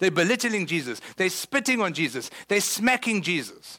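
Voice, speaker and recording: In a very clean recording with a silent background, a man with a South African accent talks at a fairly quick pace, his high pitch carrying lively intonation. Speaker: pastor. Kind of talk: sermon. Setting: church.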